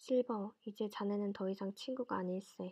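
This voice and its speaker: A woman's medium-pitched, soothing voice at a moderate pace. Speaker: ASMR storyteller reading books aloud. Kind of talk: audiobook-style reading of a classic novel, ASMR. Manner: soothing, sleep-inducing.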